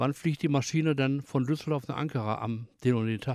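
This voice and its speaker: With an ordinary speaking voice at medium pitch, a man talks at a fairly quick pace in a dry, close sound with no echo. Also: very clean recording, silent background. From Germany, Ruhr area (Bottrop). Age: 60s. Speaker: retired forklift driver. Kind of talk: casual chat.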